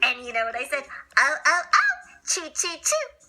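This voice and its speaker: A woman puts on a squeaky, high-pitched character voice with a playful tone. She speaks at a moderate pace. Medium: read story. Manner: playful, giggly.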